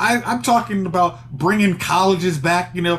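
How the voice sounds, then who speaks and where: The intonation here is lively. A male speaker keeps to a moderate pace. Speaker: podcast co-host. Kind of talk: casual commentary discussion. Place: home room.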